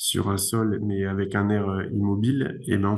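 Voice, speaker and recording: Over noticeable background noise, a man speaks in a fairly low pitch. His pace is moderate and his intonation fairly even. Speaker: engineer, research institute director. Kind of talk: conference talk, Q&A answer. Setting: video conference. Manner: hesitant, many fillers.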